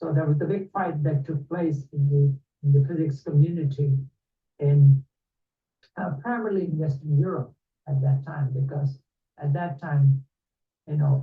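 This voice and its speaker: A man with a fairly high, somewhat breathy voice speaks with fairly even intonation and long, frequent pauses. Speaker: lecturer. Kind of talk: lecture. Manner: fast.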